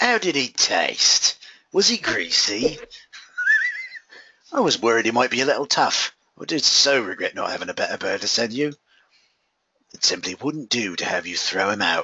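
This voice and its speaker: A man's raspy, put-on character voice, fairly high in pitch, at a moderate pace with long, frequent pauses. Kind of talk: comic overacting. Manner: smug, creepy, playfully menacing.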